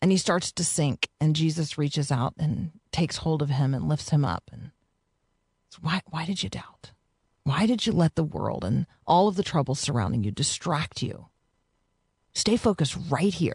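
A woman speaks with vocal fry and a warm tone. Her pitch is very deep and low, her pace moderate. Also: lively intonation, dry, close sound with no echo. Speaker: radio host. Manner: warm, conversational.

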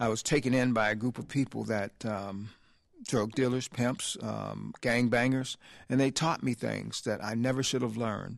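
A man with an ordinary speaking voice, medium pitch, fairly even intonation and a moderate pace over a quiet background. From US South, Selma, Alabama. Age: 60s. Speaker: ministry leader, former gang leader. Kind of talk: testimony.

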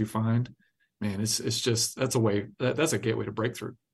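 The speaker has a normal speaking voice and an American accent. The intonation is fairly even. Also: man. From US South, South Carolina. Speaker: pastor. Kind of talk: interview.

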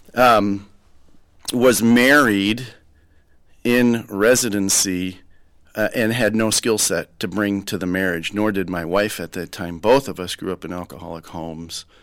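A man with a plain, everyday voice and an American accent speaks at a fairly slow pace in a fairly low pitch with ordinary pitch variation. His loudness swings widely on a very clean recording with a silent background. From Minnesota, Rochester. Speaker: trauma surgeon. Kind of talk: interview testimony.

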